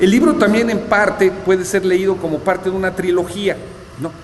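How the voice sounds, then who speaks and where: A man with a high-pitched voice talks at a fairly quick pace over noticeable background noise. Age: 60s. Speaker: author. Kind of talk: book presentation talk. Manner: halting, many fillers.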